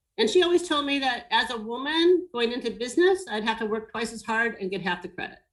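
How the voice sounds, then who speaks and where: An unremarkable speaking voice with an American accent moves at a moderate pace with lively intonation. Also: woman. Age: 60s. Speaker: business owner in design and hospitality. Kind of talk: webinar panel discussion.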